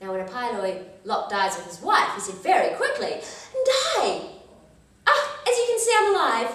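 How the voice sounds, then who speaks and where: A woman talks over noticeable background noise. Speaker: storyteller. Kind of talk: folk tale storytelling.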